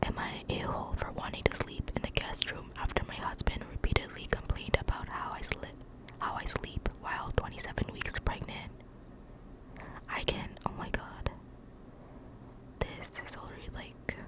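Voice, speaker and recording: A woman whispers at a moderate pace, with long, frequent pauses and big swings in loudness. Noticeable background noise sits behind her. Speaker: ASMR creator. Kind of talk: casual talk to camera, ramble between stories. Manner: whispered, soft-spoken.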